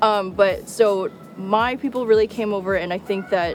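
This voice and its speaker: Music plays behind a woman speaking with a New York accent and ordinary pitch variation. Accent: American (New York). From upstate New York, US. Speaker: journalist. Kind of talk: personal interview monologue. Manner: casual, filler-heavy.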